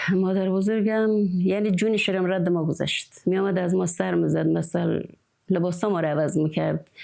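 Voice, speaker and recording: This woman's voice carries a dark, mellow tone along with ordinary pitch variation. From rural Khorasan, Iran. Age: 60s. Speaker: village woman, dotar player. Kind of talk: interview testimony.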